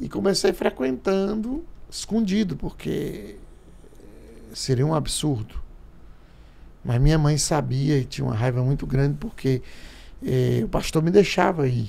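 At a fairly slow pace with long, frequent pauses, a man with a fairly high pitch, a dark, mellow tone and a somewhat breathy sound uses lively intonation. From Paraíba, Brazilian Northeast. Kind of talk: casual chat. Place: studio. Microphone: studio mic.

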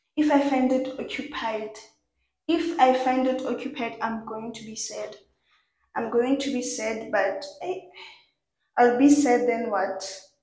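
A woman speaks at a high pitch and a fairly slow pace with long, frequent pauses, ordinary pitch variation and big swings in loudness, in audible room echo over a quiet background. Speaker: student vlogger. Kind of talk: casual vlog chat. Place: home room. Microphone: phone near.

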